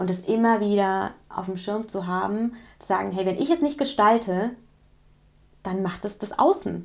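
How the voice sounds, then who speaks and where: A woman at a medium pitch and moderate pace, with ordinary pitch variation and long, frequent pauses. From West Germany. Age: 40s. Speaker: parenting coach. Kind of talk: casual interview. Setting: in-person in a coaching room.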